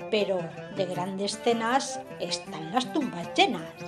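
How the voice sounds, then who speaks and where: Music plays behind a woman speaking at a medium pitch. She talks very slowly with lively intonation. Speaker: radio acting workshop student. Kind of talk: humorous first-person monologue reading.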